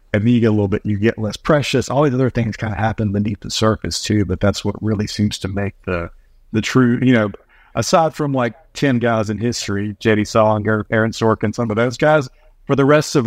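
A man with a normal speaking voice talks at a fairly quick pace and fairly low pitch, with ordinary pitch variation. The sound is dry and close with no echo, over a quiet background. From US, North Carolina. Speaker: screenwriter and filmmaker. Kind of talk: casual interview.

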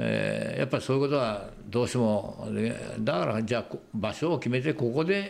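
This man talks at a moderate pace, his loudness staying very even throughout. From Japan, Shizuoka. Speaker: wooden model maker. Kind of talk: casual chat.

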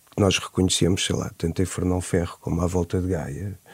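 The sound is close and dry, with no echo at all. A man talks in a dark, mellow tone. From Portugal, Nazaré. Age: 40s. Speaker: urban planner, debate guest. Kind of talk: radio panel discussion. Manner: halting, many repetitions.

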